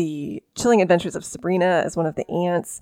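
The speaker has a plain, everyday voice with fairly even intonation at a moderate pace. The sound is dry and close with no echo, over a quiet background. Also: woman. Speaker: podcast host and author. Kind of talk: casual chat about pop culture.

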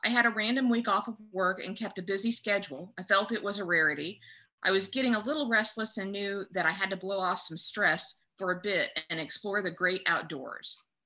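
A woman's bright, sharp voice at a medium pitch, with ordinary pitch variation, a fairly quick pace and hardly any pauses. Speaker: podcast co-host.

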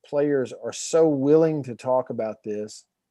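A man talks at a fairly slow pace in a Southern US accent, with a dark, mellow tone. His pitch is fairly high with ordinary variation, in a dry, close sound with no echo. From Alabama, US South. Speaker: documentary filmmaker and former radio host. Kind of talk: podcast interview.

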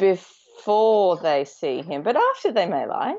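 The pace of this woman is very slow. Her pitch is medium. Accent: Australian. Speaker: podcast co-host. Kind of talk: casual chat. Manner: animated.

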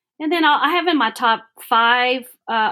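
Moderate-paced speech from a woman with a Southern US accent and a bright, sharp tone, on a very clean recording with a silent background. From Alabama, US South. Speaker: workshop facilitator. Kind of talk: casual interview.

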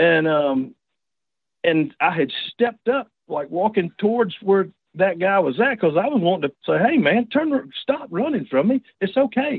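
A moderate pace with a Southern US accent, very even loudness and very wide pitch swings. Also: man, high pitch for a man. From Georgia, US. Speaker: turkey hunter, caller. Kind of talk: casual chat, telling personal story. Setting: phone or video call.

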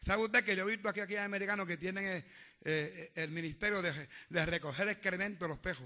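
A man at a high pitch in a raised, projected voice, animated and with a bright, sharp tone, at a very fast pace against a quiet background. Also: ordinary pitch variation. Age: old. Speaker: pastor. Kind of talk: sermon. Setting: church.

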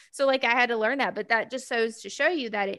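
A woman speaks with a Mississippi accent. Her tone is bright and sharp, with ordinary pitch variation. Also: very clean recording, silent background. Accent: Southern US (Mississippi). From US South, Gulfport, Mississippi. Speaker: podcast co-host. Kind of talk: casual chat.

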